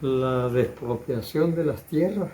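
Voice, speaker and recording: Against noticeable background noise, a man with a medium-pitched voice talks at a very slow pace with ordinary pitch variation. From Ribera de San Juan, Campeche, Mexico. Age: 80s+. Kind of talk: interview answer, oral history recollection.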